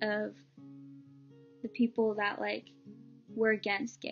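A woman speaks with ordinary pitch variation while faint music plays in the background. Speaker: vlogger. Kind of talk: personal story vlog. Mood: earnest, emotional. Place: home room. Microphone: webcam.

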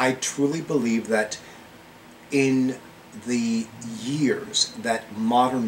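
A man talks with ordinary pitch variation while light background noise sits behind him. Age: 50s. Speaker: psychic and witch video blogger; witch video blogger. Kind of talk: video monologue. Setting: indoors at home with fan. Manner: animated. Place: home room. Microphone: webcam.

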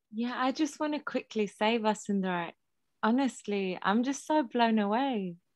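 Against a quiet background, a woman talks in an animated tone at a moderate pace, her fairly high pitch moving with ordinary variation. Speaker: facilitator, writer and activist. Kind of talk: moderated conversation. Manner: animated, laughs often.

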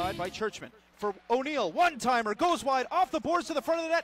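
Extremely high-pitched shouting from a man, fairly quick and lively in intonation, with a dry sound, no echo and light background noise. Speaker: hockey play-by-play announcer. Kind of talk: live commentary. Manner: animated, excitable; fast-paced play-by-play, rising to a shout on goals.

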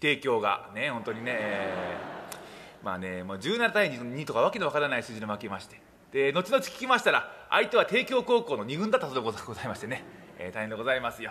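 His speech comes out very fast. The volume rises and falls sharply as this man talks. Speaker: rakugo performer (junior, apprentice of a senior master). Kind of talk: rakugo opening routine (makura) to a live audience. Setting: live theater hall. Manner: chatty, humorous, audience-interacting. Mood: jovial, smiling, self-deprecating. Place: stage. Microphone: podium.

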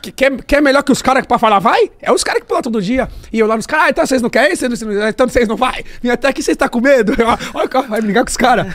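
Extremely high in pitch, this man talks at a very fast pace with hardly any pauses. His tone is animated, with ordinary pitch variation. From Brazil. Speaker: funk MC. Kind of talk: casual chat. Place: studio. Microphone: studio mic.

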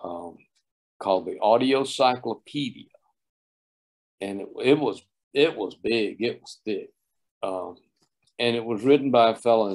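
Against a quiet background, a man with a Southern US accent speaks at medium pitch and a fairly slow pace. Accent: Southern US (Georgia). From US South, Oglethorpe County, Georgia; Georgia. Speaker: sound engineer and producer; guest. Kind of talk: interview. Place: home room. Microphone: video call.

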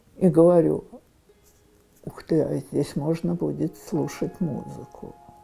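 Faint music plays in the background. The pace is very slow. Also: woman. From Moscow. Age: 80s+. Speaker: elderly homeowner interviewee. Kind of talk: interview answer. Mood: reflective, warm storytelling.

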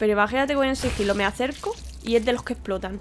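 An animated woman's voice in a Spanish accent over light background noise. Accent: Peninsular Spanish. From Spain. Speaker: gaming YouTuber. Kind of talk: let's play commentary. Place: home room. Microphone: studio mic.

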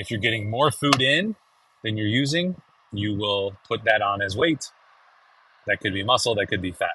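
The recording is dry with no echo, carrying a man's fairly low pitch, ordinary pitch variation and moderate pace. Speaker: fitness vlogger. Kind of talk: casual vlog chat. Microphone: phone near.

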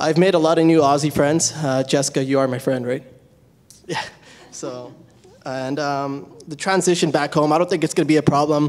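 This man speaks with a Canadian accent and a fairly high pitch. His pace is moderate and his intonation fairly even. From Canada. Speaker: law student; panelist. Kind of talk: panel presentation. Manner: casual. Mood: relaxed, joking. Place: hall. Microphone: handheld.

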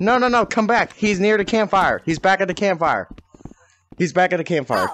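A man talks at a fairly quick pace with an animated, playful tone. The sound is dry with no echo, and there is light background noise. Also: ordinary pitch variation. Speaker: gaming video creator. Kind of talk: bedtime-style campfire storytelling, mock-epic tale. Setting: in a VR game, voice chat. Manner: dramatic, theatrical narrator tone; animated, excitable, playful. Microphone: headset.

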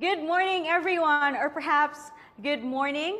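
Over light background noise, the speaker talks at a fairly slow pace with a Filipino accent. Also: woman. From Philippines. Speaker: event host. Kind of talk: event hosting. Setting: online event. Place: studio.

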